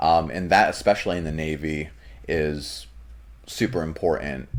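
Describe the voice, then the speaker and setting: A man speaks at a moderate pace with a very deep, low pitch and vocal fry, on a very clean recording with a silent background. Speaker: navy serviceman. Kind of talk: interview. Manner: clear, well-enunciated; hesitant fillers.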